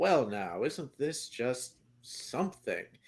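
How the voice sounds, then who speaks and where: Putting on a gruff character voice, a man talks very slowly at a fairly high pitch. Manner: friendly, warm.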